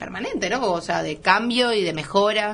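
A woman talks over noticeable background noise. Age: 20s. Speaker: chef and restaurant owner. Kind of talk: radio interview.

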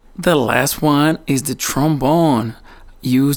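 Speaking with a Portuguese accent, a man with a fairly high pitch talks at a fairly slow pace. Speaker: musician. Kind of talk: educational explanation.

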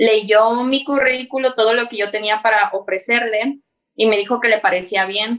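A woman's fairly high-pitched voice at a moderate pace. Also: fairly even intonation. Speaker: YouTuber. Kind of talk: casual chat.

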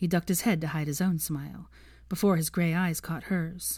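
Woman at a low pitch and moderate pace, slightly mellow in tone, with fairly even intonation

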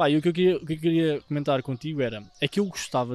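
The speaker talks at a very fast pace with ordinary pitch variation in a European Portuguese accent. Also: man. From Portugal, Gouveia area (Beira). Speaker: podcast co-host. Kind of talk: casual chat.

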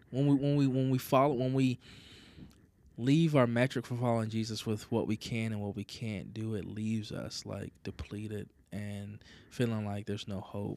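A man's medium-pitched voice has a dark, mellow tone. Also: ordinary pitch variation, moderate pace. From US South. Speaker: church pastor. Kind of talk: casual chat.

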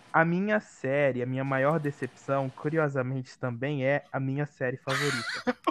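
A fairly high-pitched man speaks at a moderate pace with fairly even intonation and hardly any pauses, in a dry, close sound with no echo and noticeable background noise. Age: 20s. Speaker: film student. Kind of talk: casual chat.

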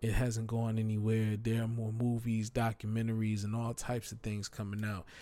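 In a dark, mellow tone, a man speaks with monotone, flat intonation and hardly any pauses. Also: medium pitch for a man, moderate pace. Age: 30s. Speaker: hip-hop podcast host and DJ. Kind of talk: casual solo monologue. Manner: loose, freestyle delivery.

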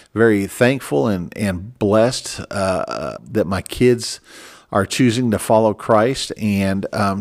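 On a very clean recording with a silent background, a man speaks at a very slow pace. His pitch is medium, with ordinary pitch variation. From Minnesota. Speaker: pastor. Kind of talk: religious podcast monologue. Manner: halting.

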